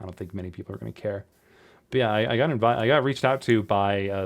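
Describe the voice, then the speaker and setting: On a very clean recording with a silent background, a man speaks very fast in a fairly low pitch with ordinary pitch variation. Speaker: podcaster and voice actor. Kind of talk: casual solo podcast talk. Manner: halting, many repetitions and fillers.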